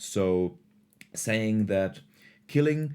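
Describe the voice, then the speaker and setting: On a very clean recording with a silent background, a man with a non-native accent speaks very slowly at a fairly low pitch with very wide pitch swings. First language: not English. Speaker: philosophy video creator. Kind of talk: casual lecture.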